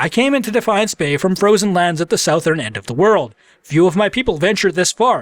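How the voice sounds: A natural reading voice is what this recording offers.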